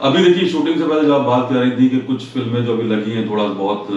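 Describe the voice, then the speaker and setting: There is noticeable background noise as a man talks, his pitch varying in an ordinary way. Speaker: radio presenter and voice actor. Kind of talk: interview answer.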